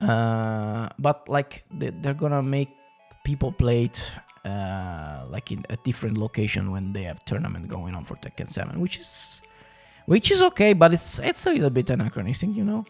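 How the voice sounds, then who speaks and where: A man's medium-pitched voice at a moderate pace, with very wide pitch swings and music in the background. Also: big swings in loudness. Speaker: podcast host. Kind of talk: casual podcast talk about fighting games. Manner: rambling, hesitant.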